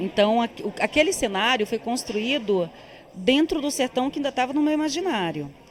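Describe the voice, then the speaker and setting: Swinging very widely in pitch, a woman speaks high at a moderate pace. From Tocantins backcountry, Brazil. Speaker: film director. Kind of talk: interview.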